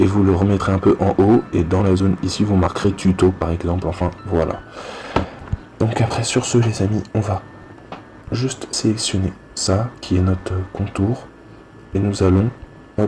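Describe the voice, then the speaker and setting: Over noticeable background noise, a man with a fairly low pitch talks at a fairly slow pace, his intonation fairly even and his pauses long and frequent. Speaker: youtuber teaching graphic design. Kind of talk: tutorial.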